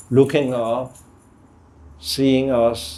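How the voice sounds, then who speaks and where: A man with a Danish accent speaks at a medium pitch in a dark, mellow tone, his intonation fairly even. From Denmark. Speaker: artist. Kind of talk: panel conversation.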